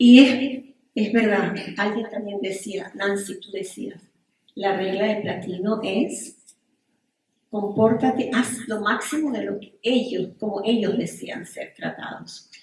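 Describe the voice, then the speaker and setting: A woman with a non-native accent speaks at a very slow pace and a medium pitch. Her pitch varies in an ordinary way while her loudness swings widely. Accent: foreign accent in every language. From Venezuela. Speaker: psychotherapist and relationship coach. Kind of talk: panel discussion.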